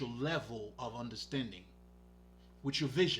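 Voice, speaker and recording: A man with a non-native accent sounds animated, his voice showing vocal fry. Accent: foreign. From Haiti. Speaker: spiritual healer. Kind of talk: casual monologue livestream. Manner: casual, profane, animated.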